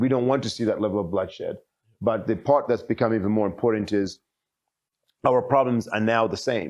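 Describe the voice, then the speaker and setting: An American-accented man at medium pitch, fairly quick pace with long, frequent pauses, fairly even intonation and a quiet background. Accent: sounds American to some, foreign in America. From Zimbabwe. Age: 40s. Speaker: politician. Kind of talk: interview.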